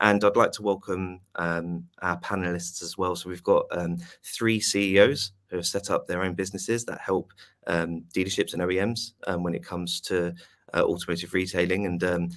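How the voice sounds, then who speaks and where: In a British accent, a man speaks at a moderate pace with a very deep, low pitch and flat, monotone intonation. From UK. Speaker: webinar host. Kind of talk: webinar moderation. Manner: hesitant, many fillers.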